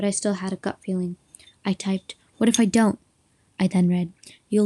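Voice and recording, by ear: Over a quiet background, the reader uses a natural voice and fairly even intonation while reading aloud.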